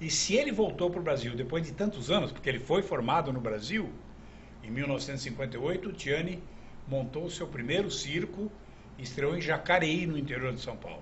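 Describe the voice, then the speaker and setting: A man speaks fairly quickly at a fairly high pitch with lively intonation. Room echo is audible. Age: 70s. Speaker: magic historian and collector. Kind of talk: TV talk show interview.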